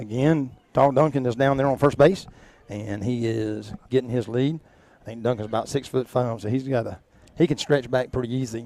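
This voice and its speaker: A man with a Georgia accent speaks in a dark, mellow tone with ordinary pitch variation. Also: medium pitch for a man, moderate pace. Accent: southern US (Georgia). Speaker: local sports play-by-play announcer. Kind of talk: live commentary. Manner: loud; animated.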